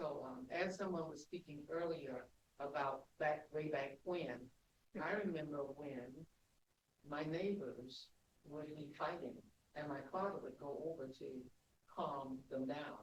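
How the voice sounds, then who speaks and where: A man with a fairly high, somewhat breathy voice speaks at a fairly slow pace with fairly even intonation and long, frequent pauses. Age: 70s. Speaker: retired nurse, audience member. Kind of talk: audience comment.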